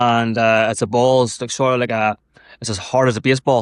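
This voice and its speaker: Against a quiet background, a man with an Irish accent talks at a fairly quick pace. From Ireland. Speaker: endurance athlete and mental health advocate. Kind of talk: podcast interview. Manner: casual, swears freely.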